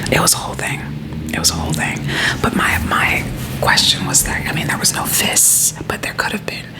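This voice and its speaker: A woman whispers at a fairly quick pace, with noticeable background noise. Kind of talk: ASMR friend-roleplay whisper rant, casual talk to camera. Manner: whispered, conversational, chatty.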